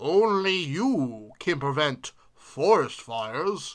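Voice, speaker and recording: Someone uses a put-on character voice at a middle pitch. The delivery is very slow. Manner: earnest public-service.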